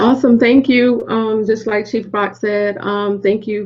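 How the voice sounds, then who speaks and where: Over noticeable background noise, someone with a Southern US accent speaks at a fairly quick pace in a monotone, flat intonation. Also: woman. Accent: Southern twang. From South Carolina. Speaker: military senior enlisted leader. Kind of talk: panel discussion.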